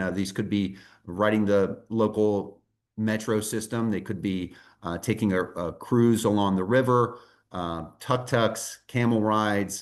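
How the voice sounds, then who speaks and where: Against a quiet background, a man with an American accent talks in a fairly low pitch with fairly even intonation. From United States. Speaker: tour company presenter. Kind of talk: sales presentation.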